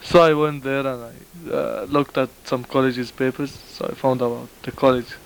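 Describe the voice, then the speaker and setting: A man's medium-pitched voice moves at a fairly quick pace with fairly even intonation against noticeable background noise. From Saudi Arabia. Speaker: international college student. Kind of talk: interview. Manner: halting.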